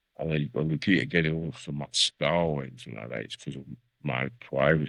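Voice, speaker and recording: A man with a very deep, low pitch and vocal fry, fairly quick and fairly even in intonation. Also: big swings in loudness. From South London. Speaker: veteran MC. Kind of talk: podcast interview.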